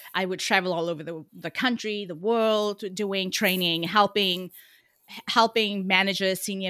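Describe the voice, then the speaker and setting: Bright and sharp in tone, a woman talks with a South African accent in a very clean recording over a silent background. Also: dry, close sound with no echo. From South Africa, Cape Town. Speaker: communications coach. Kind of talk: interview. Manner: animated.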